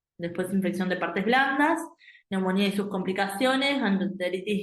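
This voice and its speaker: Lively intonation marks a woman's medium-pitched voice at a moderate pace. Audible room echo surrounds her. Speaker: medical exam prep teacher. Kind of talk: lecture. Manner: hesitant, many fillers.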